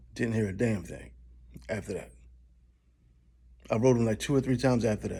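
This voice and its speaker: A man's voice has a dark, mellow tone with vocal fry at a medium pitch. He talks at a fairly quick pace but leaves long, frequent pauses. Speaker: customer complaint vlogger. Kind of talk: rant. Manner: fast; animated.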